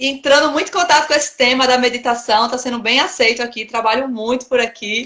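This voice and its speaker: With a Pernambuco accent, a woman speaks at a fairly quick pace with hardly any pauses. Her high pitch has ordinary variation and a bright, sharp tone. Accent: Pernambuco northeastern Brazilian. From Recife, Pernambuco, Brazilian Northeast. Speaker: occupational therapist and meditation coach. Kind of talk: casual interview chat. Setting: Instagram live video stream.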